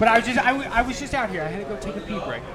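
Noticeable background noise sits behind this recording. A man talks at a very fast pace with an American accent. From Florida, US. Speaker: YouTuber, outdoors sportsman. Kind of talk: casual chat. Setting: live-streamed studio podcast.

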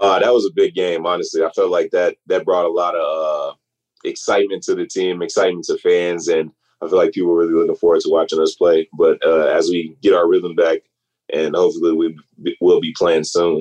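A man's fairly quick speech, dry and close with no echo. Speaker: college basketball player. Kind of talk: interview.

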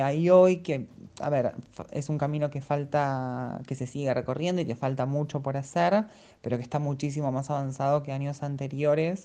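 A woman with a very deep, low pitch and a dark, mellow tone talks at a moderate pace with fairly even intonation. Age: 30s. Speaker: actress and English teacher. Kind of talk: interview testimony. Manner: halting.

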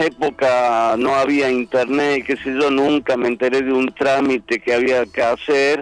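A man at a medium pitch, fairly slow in pace, with monotone, flat intonation. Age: 60s. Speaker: comedian and Malvinas war veteran. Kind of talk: casual chat.

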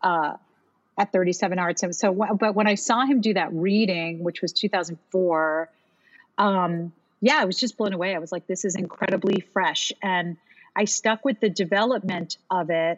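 With an American accent and a normal speaking voice, a woman talks at a fairly slow pace and medium pitch. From Miami, US. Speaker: Broadway singer and actress. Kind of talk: casual interview.

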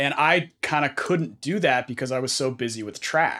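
A plain, everyday voice from a man with an American accent, fairly high pitch, ordinary pitch variation, and a moderate pace. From US West Coast, San Francisco Bay Area. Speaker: guitarist. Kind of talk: casual interview.

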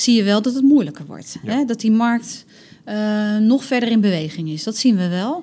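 Using an ordinary speaking voice, a woman speaks at a fairly high pitch with lively intonation. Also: moderate pace. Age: 30s. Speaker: recruitment communications specialist at a hospital. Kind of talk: casual interview. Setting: on location at workplace.

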